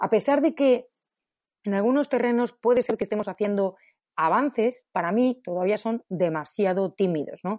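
A woman's fairly high voice in a Madrid accent, dark and mellow in tone, with lively intonation, a moderate pace and a dry, close sound with no echo. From Spain, Madrid. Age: 50s. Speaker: economics professor. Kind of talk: interview.

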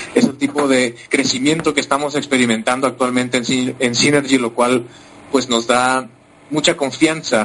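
In a medium pitch, a man speaks at a moderate pace with monotone, flat intonation. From Mexico. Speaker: compensation plan analyst. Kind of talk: business presentation. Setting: online conference.

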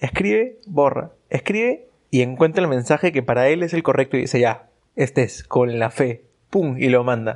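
A man with an ordinary speaking voice talks at a moderate pace and medium pitch, his intonation lively. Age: 20s. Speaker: podcast guest. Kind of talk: casual chat.

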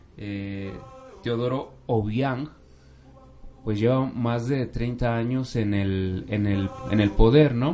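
At a very slow pace, a man with a medium-pitched voice talks in fairly even intonation over noticeable background noise. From Mexico City. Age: 30s. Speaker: missionary brother. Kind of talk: radio interview.

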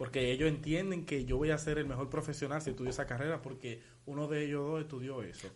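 Audible room echo surrounds a man who talks at a very fast pace, with a fairly high pitch and fairly even intonation. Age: 19. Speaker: podcast co-host. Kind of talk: casual chat.

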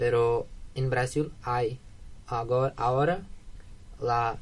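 A man with a Portuguese accent talks at a medium pitch in a somewhat breathy voice. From Brazil, Minas Gerais. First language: Portuguese (speaking Spanish). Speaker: exchange student. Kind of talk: radio interview. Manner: halting.

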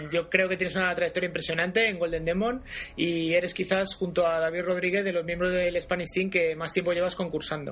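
There is noticeable background noise as a man speaks. His pitch is high and his pace fairly quick. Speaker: podcast host interviewing miniature painters. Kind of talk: casual interview.

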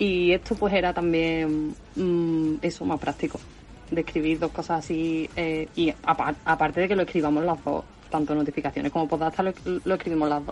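A woman with an Andalusian accent speaks at a moderate pace. Her pitch is fairly low and her intonation monotone and flat. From Spain, Seville (Andalusia). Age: 20s. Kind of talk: casual chat.

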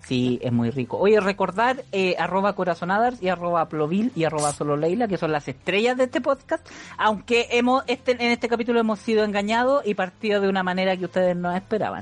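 A woman with a Chilean accent talks at a fairly quick pace and a medium pitch, with very wide pitch swings and hardly any pauses. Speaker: podcast co-host. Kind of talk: casual chat.

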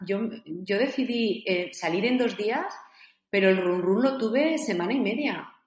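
The speech comes fairly slowly with lively intonation, and room echo can be heard. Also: woman, fairly high pitch for a woman. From Spain, Zaragoza. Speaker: author and coach. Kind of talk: interview.

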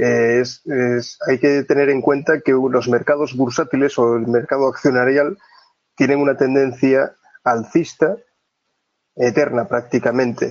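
At a fairly slow pace, a man with a plain, everyday voice and medium pitch speaks with fairly even intonation and very even loudness. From Asturias, northern Spain. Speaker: trader. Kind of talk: interview.

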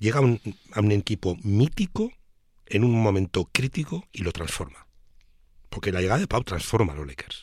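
Pausing long and often, a man speaks at a moderate pace in a fairly low, somewhat breathy voice with very wide pitch swings, on a very clean, dry, close recording with a silent background and no echo. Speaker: basketball pundit. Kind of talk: casual chat.

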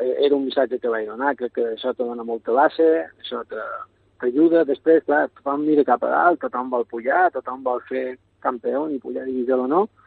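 In a Mallorcan accent, a man speaks at a medium pitch. His pace is moderate, with ordinary pitch variation. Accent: Mallorcan Catalan. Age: 40s. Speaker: youth football coach. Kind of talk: radio interview. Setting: phone call.

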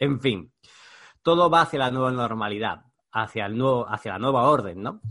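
A man talks in a normal speaking voice at a medium pitch. His pace is moderate and his pitch variation ordinary. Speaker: podcast host, digital marketing mentor. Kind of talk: scripted monologue intro; casual interview.

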